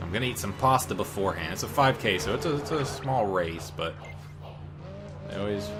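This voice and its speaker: Over music in the background, a man speaks with audible room echo. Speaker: gaming YouTuber. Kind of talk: gameplay commentary. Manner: loud; animated.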